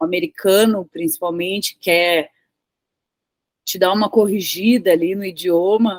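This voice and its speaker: A woman with a medium pitch and ordinary pitch variation speaks at a fairly slow pace. Long, frequent pauses break up her speech in a dry, close sound with no echo. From southern Brazil (Rio Grande do Sul). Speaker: tech professional and English teacher. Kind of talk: casual interview conversation.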